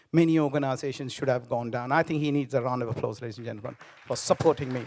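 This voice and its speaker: A medium-pitched man at a very fast pace with fairly even intonation, crowd noise in the background. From Sri Lanka. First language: Tamil. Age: 50s. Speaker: business founder. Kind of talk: speech. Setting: stage with audience.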